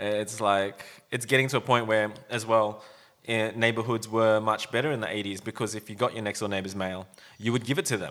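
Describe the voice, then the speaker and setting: With an Australian accent, a man talks at a fairly quick pace and keeps his intonation fairly even. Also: fairly low pitch for a man. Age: 40s. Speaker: podcast host, brand owner. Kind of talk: casual chat. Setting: studio with microphones.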